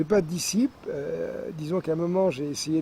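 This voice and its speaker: A man at a moderate pace with ordinary pitch variation, over noticeable background noise. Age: 70s. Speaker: scientist and former aeronautical engineer. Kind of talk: interview.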